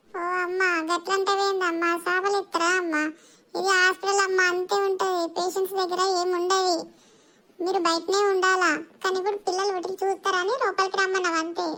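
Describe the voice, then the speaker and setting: A woman does a cartoonish character voice at an extremely high pitch, keeping a moderate pace and monotone, flat intonation. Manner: firm, scolding.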